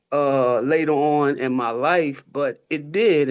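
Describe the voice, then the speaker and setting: A man with an American accent speaks at a fairly high pitch with ordinary variation. The background is quiet. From Baltimore, Maryland (East Baltimore). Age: 60s. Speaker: funeral home owner. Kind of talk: personal story in virtual community meeting. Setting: video call. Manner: animated.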